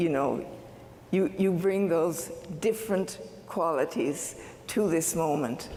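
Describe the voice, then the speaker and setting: A woman with a fairly low pitch speaks at a very slow pace, leaving long, frequent pauses. Her loudness stays very even, and audible room echo surrounds her voice. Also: ordinary pitch variation. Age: 70s. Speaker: university convocation speaker. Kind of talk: commencement speech. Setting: stage with audience.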